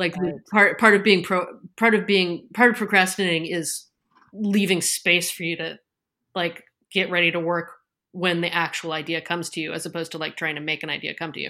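A fairly low, bright and sharp female voice at a fairly quick pace, with fairly even intonation, big swings in loudness, and a very clean recording with a silent background. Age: middle-aged. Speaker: podcast guest. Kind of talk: casual chat.

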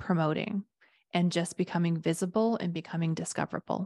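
A normal speaking voice moves at a moderate pace. The sound is dry and close with no echo, over a quiet background. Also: woman. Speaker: podcast host and business coach. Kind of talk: casual business discussion.

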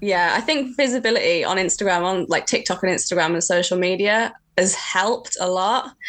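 Speaking with an English accent, a woman at medium pitch moves at a fairly quick pace with hardly any pauses and ordinary pitch variation. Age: 30s. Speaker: heritage stonemason. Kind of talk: casual interview chat.

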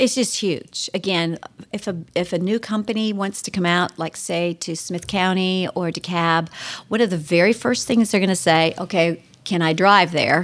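This woman has a normal speaking voice with an American accent. Her pitch is medium with ordinary variation, and her pace is moderate. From Ohio, US Midwest. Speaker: state politician. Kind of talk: radio interview.

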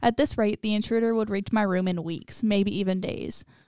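A woman talks in a normal speaking voice at medium pitch. Her pace is fairly quick, with ordinary pitch variation. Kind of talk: reading stories aloud.

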